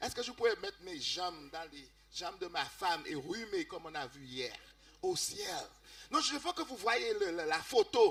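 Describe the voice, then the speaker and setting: Speaking at a fairly slow pace, a man shows a non-native accent. His loudness swings widely. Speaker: music seminar speaker. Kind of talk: seminar talk in church. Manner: halting, self-correcting.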